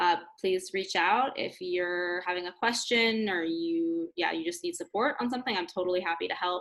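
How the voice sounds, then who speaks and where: An ordinary speaking voice with ordinary pitch variation, a moderate pace and hardly any pauses. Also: woman, medium pitch for a woman. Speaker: school psychiatric social worker. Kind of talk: tutorial. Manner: casual, filler-heavy.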